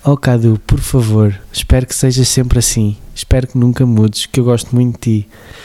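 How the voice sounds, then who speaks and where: Over noticeable background noise, a man with a European Portuguese accent speaks fairly quickly at a medium pitch in a monotone, flat delivery. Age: 30s. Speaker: podcast host. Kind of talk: casual chat.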